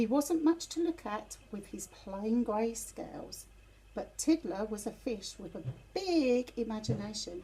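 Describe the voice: A woman talks at a fairly slow pace with lively intonation. Her pitch is fairly high and her tone is dark and mellow.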